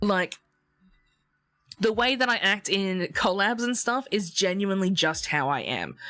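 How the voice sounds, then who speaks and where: Over music in the background, a woman speaks at a medium pitch and a fairly slow pace in an animated tone with lively intonation, leaving long, frequent pauses. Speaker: VTuber streamer. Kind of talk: casual chat. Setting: live stream. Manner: loud.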